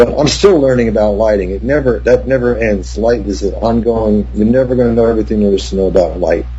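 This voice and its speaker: A man with an American accent at a very fast pace, hardly any pauses, audible room echo, and music in the background. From New Jersey. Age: 60s. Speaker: cinematographer. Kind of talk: interview.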